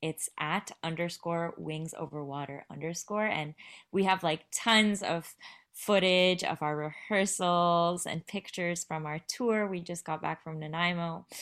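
Speaking with a Canadian accent in an ordinary speaking voice, a woman talks at a fairly slow pace with a fairly low pitch and fairly even intonation, in a very clean recording with a silent background. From western Canada. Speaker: poet and playwright. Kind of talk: interview.

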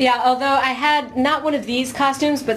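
Noticeable background noise sits behind this recording. A woman speaks at a fairly quick pace. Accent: American. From California, US. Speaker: musician. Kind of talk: casual chat. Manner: animated.

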